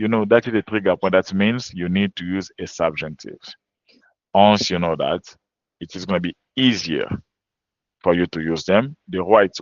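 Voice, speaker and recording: A man with a French accent speaks with long, frequent pauses and big swings in loudness. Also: fairly low pitch for a man, ordinary pitch variation, moderate pace. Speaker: French language teacher. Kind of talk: webinar lecture.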